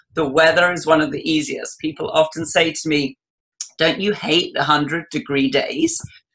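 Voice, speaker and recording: An English accent is heard. The speech moves at a moderate pace. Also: woman. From England. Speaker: cooking guest. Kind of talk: interview.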